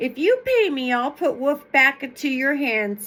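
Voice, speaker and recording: A woman puts on a character voice. Her pitch is high. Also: moderate pace. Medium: read story. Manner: sly.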